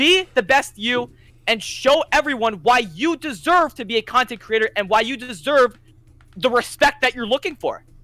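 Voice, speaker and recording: Music plays in the background. The pace is moderate. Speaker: gaming content creator. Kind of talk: casual chat. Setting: call on a live stream. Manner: loud; animated.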